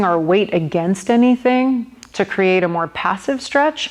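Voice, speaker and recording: In a normal speaking voice, a woman talks at a moderate pace with medium pitch and ordinary pitch variation. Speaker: yoga instructor. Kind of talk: guided yoga class.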